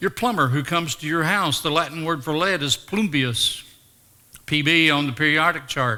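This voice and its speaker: With a Tennessee accent, a man speaks in a fairly high voice. His tone is bright and sharp, and his pace is moderate. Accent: Southern US (Tennessee). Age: 70s. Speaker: retired teacher and former pro wrestler. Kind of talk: interview testimony. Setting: chapel with live audience.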